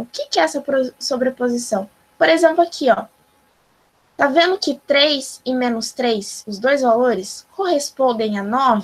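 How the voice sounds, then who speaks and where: A woman speaks with lively intonation. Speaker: math teacher. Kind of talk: online lecture. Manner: animated.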